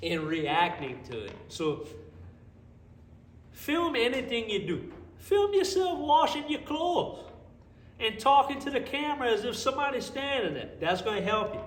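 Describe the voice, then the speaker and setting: A man with an extremely high pitch and a South Louisiana accent speaks in an animated tone, his pitch swinging very widely. He keeps a moderate pace with long, frequent pauses, and the room echo is audible. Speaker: car mechanic vlogger. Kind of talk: casual vlog talk to camera. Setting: home garage workshop.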